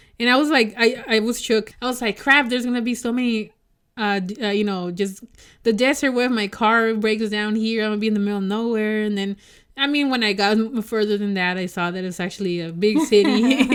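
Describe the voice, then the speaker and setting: Speaking in a Mexican accent, a woman talks at a very fast pace with a fairly high pitch and ordinary pitch variation. The recording is very clean, with a silent background. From Mexico. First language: Spanish. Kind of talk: casual chat.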